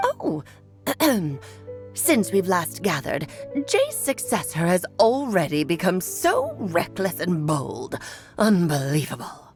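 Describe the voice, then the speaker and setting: Using a put-on character voice, a woman speaks at a fairly slow pace with long, frequent pauses as faint music plays in the background. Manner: reproachful, imperious.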